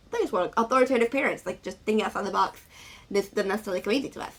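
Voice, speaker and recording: Noticeable background noise accompanies a woman whose voice sits at a medium pitch. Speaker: vlogger. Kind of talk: casual vlog talk. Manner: fast.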